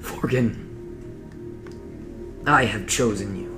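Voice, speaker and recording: A man performs a put-on character voice with a rumbling quality at a medium pitch. Loud music plays in the background. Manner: menacing, commanding.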